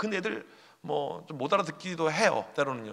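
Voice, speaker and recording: A man talks while noticeable background noise is heard. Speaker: youth pastor. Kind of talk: conference talk. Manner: fast; animated.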